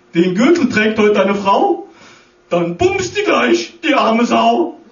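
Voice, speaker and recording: A man's fairly high voice at a very slow pace, with very wide pitch swings and audible room echo. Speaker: cabaret comedian. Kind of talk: rhymed satirical carnival speech. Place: stage. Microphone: camera far.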